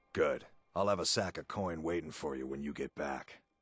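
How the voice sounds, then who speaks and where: A man's put-on character voice, raspy and very deep, with ordinary pitch variation at a moderate pace, in a dry, close sound with no echo. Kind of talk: rough dialect. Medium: machinima.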